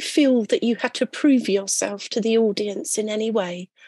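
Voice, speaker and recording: A woman with a British accent speaks at a moderate pace, her fairly high pitch carrying a dark, mellow tone against a quiet background. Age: 50s. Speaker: podcast host. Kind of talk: scripted narration; interview.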